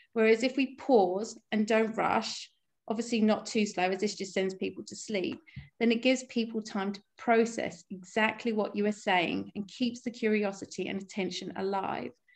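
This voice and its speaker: Here a woman speaks at a fairly high pitch. Her pace is moderate and her intonation fairly even. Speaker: workshop speaker. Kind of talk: workshop presentation; guided visualization.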